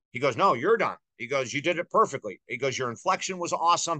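Over a quiet background, a man talks at a very fast pace with lively intonation and a bright, sharp tone. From US Northeast (Syracuse, New York). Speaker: author and life coach. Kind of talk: interview. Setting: studio.

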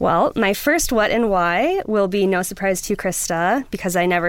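A woman with an American accent has an ordinary speaking voice, a medium pitch and a moderate pace. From US Midwest, Wisconsin. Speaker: streaming company publicist. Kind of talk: show recommendation, partly scripted. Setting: studio.

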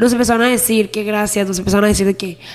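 There is noticeable background noise behind a woman speaking. Her pitch is medium, with ordinary variation. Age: 20s. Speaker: podcast co-host. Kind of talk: casual chat.

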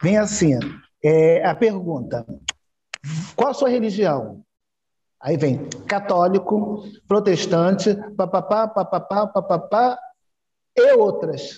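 Long pauses come often in this very slow delivery. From Brazil, Rio de Janeiro. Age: 60s. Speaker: Afro-Brazilian religious leader. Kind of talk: interview. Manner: halting.

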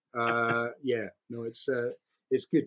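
A man speaks with a Scottish accent. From Scotland. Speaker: actor and voiceover artist. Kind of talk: casual interview chat. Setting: video call.

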